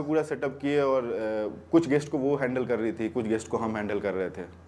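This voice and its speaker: The voice belongs to a man. Noticeable background noise sits under his speech. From Bihar, India. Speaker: stand-up comedian. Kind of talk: stand-up comedy set. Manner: casual, conversational.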